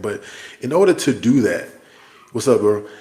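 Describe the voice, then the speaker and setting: A man is talking. Background noise can be noticed throughout. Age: 40s. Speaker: army soldier and vlogger. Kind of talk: livestream monologue. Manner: casual, conversational.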